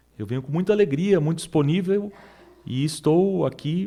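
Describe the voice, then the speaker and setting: Dark and mellow in tone, a man's voice proceeds at a moderate pace. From Brazil. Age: 40s. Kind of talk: interview.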